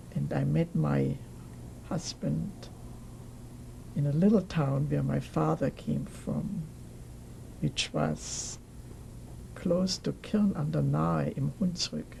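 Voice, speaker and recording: A woman with a German accent speaks at a very slow pace, with long, frequent pauses. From Germany, Nuremberg. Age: 80s+. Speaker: Holocaust survivor. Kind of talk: oral history interview. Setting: recorded interview on camera.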